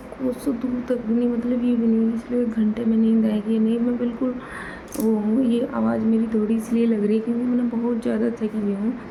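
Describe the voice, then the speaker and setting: Soft-spoken and at fairly high pitch, a woman talks at a moderate pace with monotone, flat intonation and very even loudness, with audible room echo and noticeable background noise. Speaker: vlogger. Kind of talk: casual vlog talk to camera. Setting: bedroom at night. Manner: hushed, quiet so others stay asleep.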